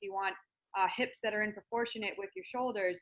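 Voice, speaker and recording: Medium-pitched and quick-paced, a woman speaks with an American accent and fairly even intonation. She has an unremarkable speaking voice. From US Northeast, Massachusetts. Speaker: natural bodybuilder and personal development coach. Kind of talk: interview.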